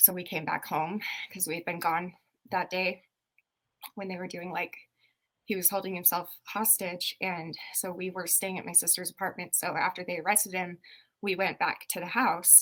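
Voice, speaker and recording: A woman speaks at a moderate pace and medium pitch, with a bright, sharp tone. Her intonation stays flat and monotone. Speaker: podcast co-host. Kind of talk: casual chat. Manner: stuttery.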